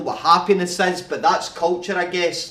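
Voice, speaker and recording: A man speaks in a Scottish accent with a high pitch. His pace is moderate. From Scotland. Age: 20s. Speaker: rapper, spoken word artist. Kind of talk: spoken word poetry performance.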